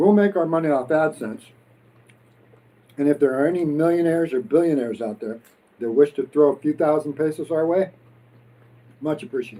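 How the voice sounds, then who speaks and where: With a dark, mellow tone, a man moves at a fairly quick pace broken by long, frequent pauses. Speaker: expat vlogger. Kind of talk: casual chat, mukbang livestream. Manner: energetic.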